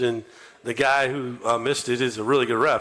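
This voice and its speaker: A man with a normal speaking voice, medium pitch, moderate pace and fairly even intonation. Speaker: college basketball head coach. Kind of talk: radio show interview answer about a game. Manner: conversational, talkative.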